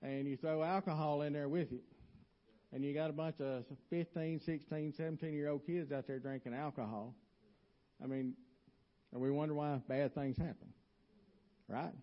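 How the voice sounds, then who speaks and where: With a Southern US accent, a man talks at a moderate pace in a fairly high pitch, leaving long, frequent pauses. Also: ordinary pitch variation. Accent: US South. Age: 50s. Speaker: lay preacher. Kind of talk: sermon. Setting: church.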